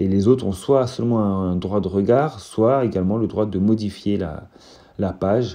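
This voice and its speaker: A man's fairly low, dark and mellow voice at a moderate pace, with fairly even intonation. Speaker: teacher. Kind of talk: tutorial. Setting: recorded on phone. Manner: stuttering; hesitant, many fillers.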